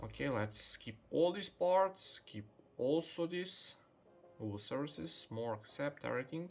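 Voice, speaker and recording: Music plays in the background as a man with a non-native accent speaks at a fairly slow pace. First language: Serbian. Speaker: tech youtuber. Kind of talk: unboxing tutorial. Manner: halting, with fillers.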